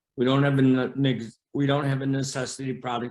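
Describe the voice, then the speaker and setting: A man talks at a fairly quick pace in a normal speaking voice. His pitch sits in the medium range. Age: 60s. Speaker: bowling alley owner. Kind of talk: interview.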